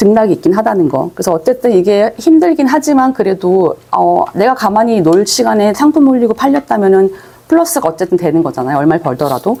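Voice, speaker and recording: Amid noticeable background noise, a woman speaks fairly quickly at medium pitch with very wide pitch swings. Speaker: online selling instructor. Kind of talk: lecture. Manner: fast.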